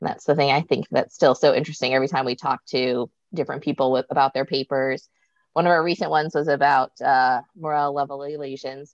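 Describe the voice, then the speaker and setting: A woman with a very deep, low pitch speaks very fast with fairly even intonation. The sound is dry and close with no echo, over a quiet background. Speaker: trauma surgeon, moderator. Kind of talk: moderating panel discussion.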